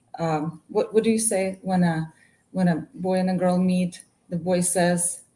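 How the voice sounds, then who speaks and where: With a Russian accent, a woman speaks at a medium pitch and a fairly slow pace, her somewhat breathy voice dark and mellow in tone with fairly even intonation. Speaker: martial arts instructor and business owner. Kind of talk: casual interview chat.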